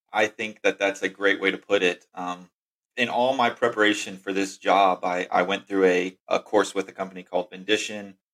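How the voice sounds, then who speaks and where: Using a normal speaking voice, a man talks in a fairly low pitch and keeps a moderate pace. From Texas. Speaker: outbound sales rep, former teacher. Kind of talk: casual interview.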